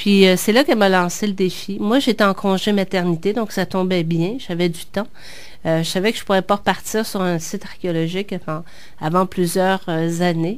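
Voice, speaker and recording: Speaking in a Quebec accent, a woman uses a medium pitch. Her intonation stays fairly even at a moderate pace. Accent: Québécois French. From Quebec, born in Picardy, France, moved at age seven. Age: 40s. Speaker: author. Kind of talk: interview. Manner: hesitant, many fillers.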